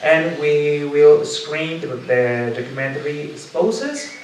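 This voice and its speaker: Very slow speech from a man, with noticeable background noise and audible room echo. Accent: Spanish. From Mexico, Jalisco (Guadalajara). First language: Spanish. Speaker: LGBTIQ rights activist and cultural manager. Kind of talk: talk to an audience. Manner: halting, many fillers.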